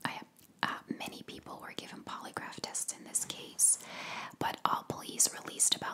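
Whispering and soft-spoken, a woman talks at a moderate pace. Noticeable background noise sits behind her. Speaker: true crime narrator. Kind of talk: casual true crime storytelling. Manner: soft close-mic ASMR whisper. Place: home room. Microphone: studio mic.

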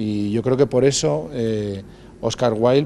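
Light background noise sits behind the voice. A man talks with ordinary pitch variation. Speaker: theatre actor or director. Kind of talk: interview answer. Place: stage.

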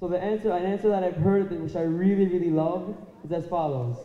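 Audible room echo surrounds a man's high-pitched voice. His pitch variation is ordinary. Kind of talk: extemporaneous speech to an audience. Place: hall. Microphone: handheld.

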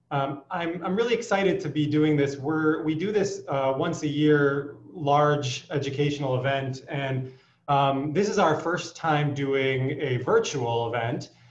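A man talks at a fairly slow pace with ordinary pitch variation. Audible room echo surrounds his voice. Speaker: physician host. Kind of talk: welcome address. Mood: warm, welcoming. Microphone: video call.

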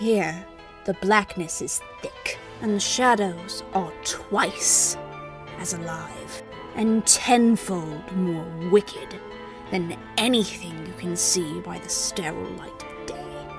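A female-sounding put-on character voice speaks at a very slow pace. Clear music plays in the background. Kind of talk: gothic storytelling narration. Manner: theatrical, sly, gleefully spooky.

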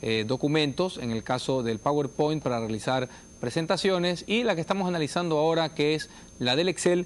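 At a fairly quick pace, a man talks with lively intonation. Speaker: TV course host. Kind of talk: educational TV presentation. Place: studio. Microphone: lapel.

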